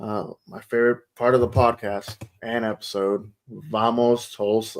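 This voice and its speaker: Fairly slow, mumbling speech with fairly even intonation and big swings in loudness. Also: man, medium pitch for a man. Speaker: soccer podcast host. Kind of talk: casual chat.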